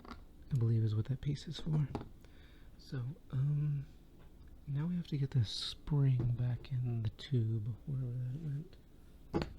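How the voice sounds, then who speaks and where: A man whispers at a very slow pace. He is soft-spoken and somewhat breathy. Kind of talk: ASMR tinkering video, soft-spoken demonstration. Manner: soft-spoken, whispered.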